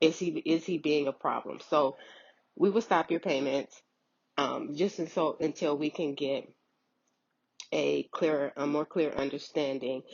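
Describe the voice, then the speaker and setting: A woman speaks at a very deep, low pitch and a fairly slow pace. Her intonation is fairly even, broken by long, frequent pauses. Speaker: unemployment claims worker. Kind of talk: informational vlog. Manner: hesitant, filler words.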